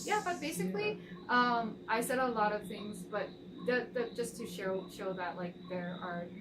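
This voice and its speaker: Noticeable background noise sits behind the voice. A woman speaks at a moderate pace, her pitch varying in an ordinary way. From Taiwan. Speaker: tea atelier director. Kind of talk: interview answer.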